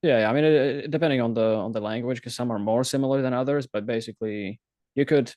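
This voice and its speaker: A man with a Slovak accent speaks very fast at a medium pitch, his intonation fairly even. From Slovakia, near Ukrainian border. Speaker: self-taught frontend developer. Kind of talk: casual interview chat.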